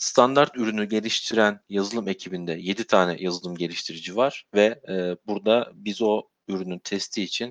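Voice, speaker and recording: A normal speaking voice with ordinary pitch variation moves at a moderate pace in a dry, close sound with no echo. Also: man. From Turkey, Sivas. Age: 30s. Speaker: QA manager at a security software company. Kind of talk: interview.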